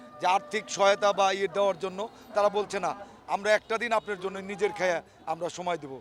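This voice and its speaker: This man speaks at a high pitch. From Tangail, Bangladesh. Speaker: politician. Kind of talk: interview.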